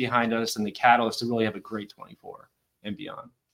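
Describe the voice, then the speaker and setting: An ordinary speaking voice from a man at medium pitch, at a fairly quick pace. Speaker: chief financial officer. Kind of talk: interview, corporate pitch.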